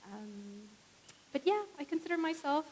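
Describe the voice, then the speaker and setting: With a Spanish accent, a woman speaks at a moderate pace and with lively intonation. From Puerto Rico, small town. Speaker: professor. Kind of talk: panel discussion. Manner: hesitant, many fillers.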